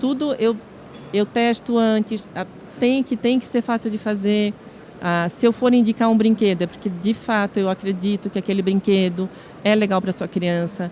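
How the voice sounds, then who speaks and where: A woman at medium pitch with a southern Brazilian accent, fairly even intonation and a moderate pace, with noticeable background noise. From southern Brazil, Santa Catarina (Brusque). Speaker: social media influencer. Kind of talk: podcast interview.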